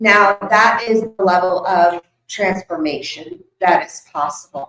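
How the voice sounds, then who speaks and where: Very slow speech from a woman. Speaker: spiritual teacher giving a workshop. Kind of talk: workshop talk to a live audience. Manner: loud, projecting.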